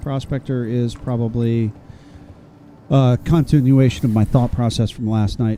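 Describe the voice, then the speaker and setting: With fairly even intonation, a man speaks fairly slowly as music plays in the background. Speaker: gaming streamer. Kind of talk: casual livestream commentary. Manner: soft-spoken, calm.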